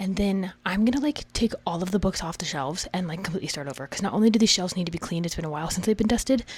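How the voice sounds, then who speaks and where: A woman whispers at a very fast pace. She leaves hardly any pauses. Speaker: book content creator. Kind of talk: casual vlog. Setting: home library at night. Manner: whispering.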